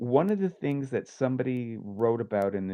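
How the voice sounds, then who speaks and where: A man with a Canadian accent speaks at a fairly slow pace with lively intonation in an unremarkable speaking voice. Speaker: podcast co-host. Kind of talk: casual chat.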